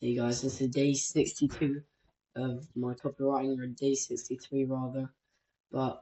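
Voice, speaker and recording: Somewhat breathy, a man speaks at a moderate pace and medium pitch with monotone, flat intonation. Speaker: copywriting content creator. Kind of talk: tutorial. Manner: casual, halting with self-corrections.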